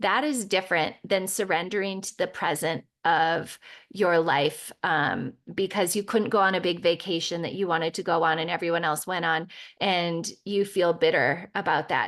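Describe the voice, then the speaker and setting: A woman speaks in a normal speaking voice at a moderate pace, with ordinary pitch variation and a quiet background. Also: fairly low pitch for a woman. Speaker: spiritual podcast host. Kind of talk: podcast monologue.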